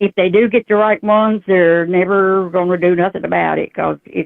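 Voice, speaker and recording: In a Southern US accent, a woman speaks at a moderate pace with a fairly low pitch and fairly even intonation. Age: 80s+. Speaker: caller. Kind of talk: casual chat.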